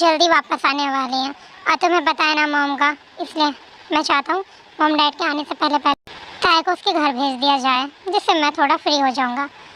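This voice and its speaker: Putting on a character voice, a woman speaks at a high pitch. Her pace is moderate and her intonation fairly even. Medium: audio drama. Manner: gentle, caring.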